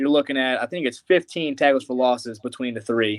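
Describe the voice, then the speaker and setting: At a fairly quick pace, a man with a medium pitch speaks with a slight Southern US accent. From US Midwest. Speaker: college football fan guest. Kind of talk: casual chat.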